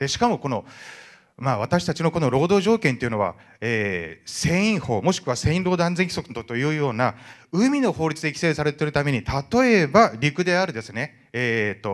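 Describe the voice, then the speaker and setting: A man at a fairly high pitch and fairly quick pace, against a quiet background. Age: 50s. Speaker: merchant ship captain. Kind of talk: audience question at public meeting. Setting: indoor hall with audience. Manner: fast talker. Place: hall.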